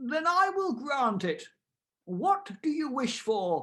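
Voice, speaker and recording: A put-on character voice pitched high, with very wide swings in pitch. It moves at a very slow pace. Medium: read story. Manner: calm, measured.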